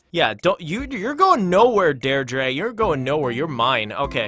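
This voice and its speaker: Music plays in the background as a man with a fairly high pitch speaks in very wide pitch swings. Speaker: gaming youtuber. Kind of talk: gameplay commentary. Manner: animated.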